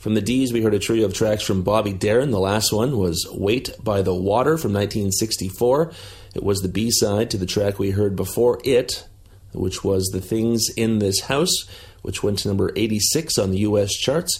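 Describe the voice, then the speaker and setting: Relaxed in tone and somewhat breathy, a man talks at a fairly slow pace in a fairly low pitch with ordinary pitch variation. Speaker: radio host. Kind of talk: radio DJ patter. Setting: remote recording, not in studio. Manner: relaxed, friendly.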